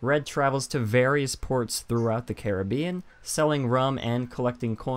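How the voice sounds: Reading in a natural voice, the speaker's pitch varies in an ordinary way.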